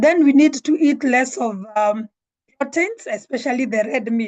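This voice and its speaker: Her pitch varying in an ordinary way, a woman talks fairly slowly. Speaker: network marketing director. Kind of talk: online presentation. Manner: hesitant, many fillers.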